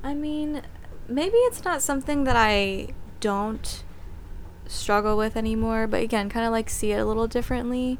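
A woman's fairly high voice at a moderate pace, with ordinary pitch variation and audible room echo. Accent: American. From US, Texas (Austin). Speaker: guest, volunteer team member. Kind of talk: casual interview.

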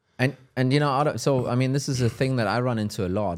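This is a man with a German accent. The recording is very clean, the background silent. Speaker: live show host. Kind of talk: casual conversation. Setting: live stream, in Copenhagen.

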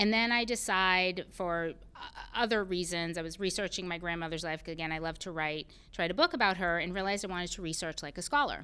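On a very clean recording with a silent background, a woman with an American accent talks very fast in a bright, sharp tone, her fairly low pitch varying in an ordinary way. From Massachusetts, US. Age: 40s. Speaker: CEO and storyteller. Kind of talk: casual interview conversation.

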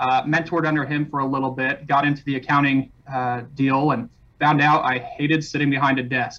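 A man with an American accent has a normal speaking voice at fairly high pitch. He keeps a moderate pace and fairly even intonation. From California, Mojave Desert. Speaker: real estate broker owner. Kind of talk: interview.

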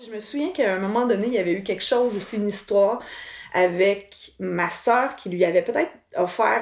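With a Quebec accent, a woman talks at a medium pitch. Her pace is moderate and her pitch variation ordinary. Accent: Québécois French. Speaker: cousin of the host, granddaughter. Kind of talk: casual interview.

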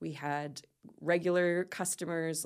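On a very clean recording with a silent background, a woman speaks in a Nova Scotian accent. Her very deep, low voice is very slow, with fairly even intonation. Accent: Nova Scotian Canadian. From Nova Scotia, Canada. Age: 40s. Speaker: business coach. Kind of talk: interview.

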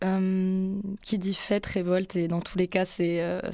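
This woman speaks at a medium pitch with a dark, mellow tone and flat, monotone intonation. The recording is very clean, with a silent background. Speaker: radio host. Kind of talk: radio interview. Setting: radio studio.

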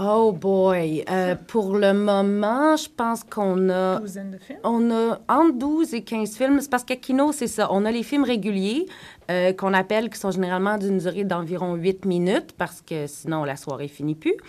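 A woman talks fairly slowly, with hardly any pauses, in an unremarkable speaking voice. Her pitch sits in the medium range and her intonation is lively. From Quebec. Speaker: actress and screenwriter. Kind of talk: radio panel discussion. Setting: radio studio.

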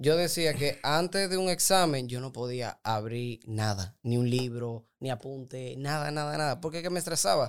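In an unremarkable speaking voice, a man talks at a moderate pace with medium pitch and lively intonation. He barely pauses at all. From Dominican Republic, Santo Domingo. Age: 20s. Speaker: doctor and nutrition coach. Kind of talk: casual interview.

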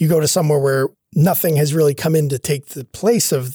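With a Cape Breton accent, a man speaks at a fairly quick pace in a dark, mellow tone with a fairly high pitch. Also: dry, close sound with no echo. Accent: Cape Breton Canadian English. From Cape Breton, Nova Scotia (Sydney). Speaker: history professor. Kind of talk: interview. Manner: conversational, frequent fillers like right and you know.

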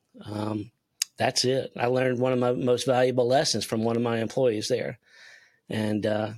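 At a moderate pace, a speaker with a South Carolina accent keeps fairly even intonation on a very clean recording with a silent background. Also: man. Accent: Southern US (South Carolina). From US South, South Carolina (Spartanburg). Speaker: sales consultant. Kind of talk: casual interview.

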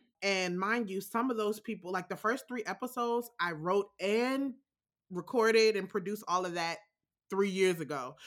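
With an American accent, a woman talks at a moderate pace and medium pitch. Her pitch varies in an ordinary way. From Alexandria, Virginia (DC metro area). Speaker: podcast creator and sound designer. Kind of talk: casual interview. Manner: halting, many fillers.

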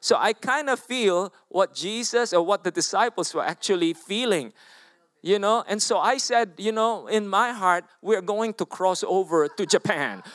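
The speaker is a man with a high-pitched voice. He talks at a fairly slow pace. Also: ordinary pitch variation, dry, close sound with no echo. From Philippines. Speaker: guest preacher. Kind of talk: sermon. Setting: church with congregation.

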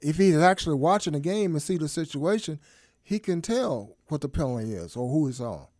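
A man talks at a fairly high pitch in an ordinary speaking voice. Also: fairly quick pace, very clean recording, silent background. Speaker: guest co-host filling in. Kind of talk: casual banter, sports talk.

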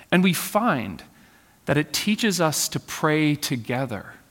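A man talks in a gentle tone at a fairly slow pace. The recording is very clean, with a silent background. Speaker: pastor. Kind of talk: sermon; spoken prayer. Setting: church. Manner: gentle, soft, reverent; slow, measured, earnest.

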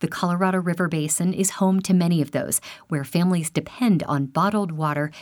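With an unremarkable speaking voice, a woman talks at a fairly low pitch and moderate pace on a very clean recording with a silent background. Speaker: radio host. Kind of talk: news reading. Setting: studio.

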